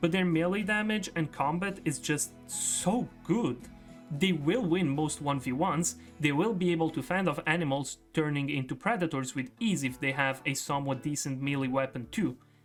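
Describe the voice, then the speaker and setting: The talking proceeds at a moderate pace. Background music is audible. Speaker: gaming video creator. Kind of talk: gaming commentary narration. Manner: casual, upbeat.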